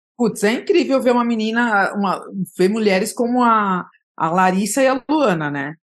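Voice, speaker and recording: Her intonation is lively and her pitch fairly high, and she speaks at a moderate pace. This woman has an ordinary speaking voice. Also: quiet background. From São Paulo, East Zone. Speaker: journalist. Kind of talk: interview conversation.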